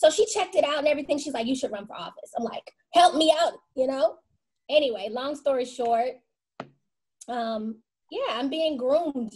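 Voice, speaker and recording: Moderate pace broken by long, frequent pauses, with lively intonation and big swings in loudness. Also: woman, high pitch for a woman. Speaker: actor. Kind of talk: casual chat. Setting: video call.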